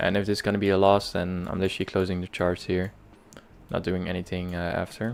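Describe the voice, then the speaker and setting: A man's very deep, very low voice with a Dutch accent, very fast and monotone with flat intonation. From Netherlands. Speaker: day trader streamer. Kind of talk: live trading stream commentary. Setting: live stream. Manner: halting, many fillers.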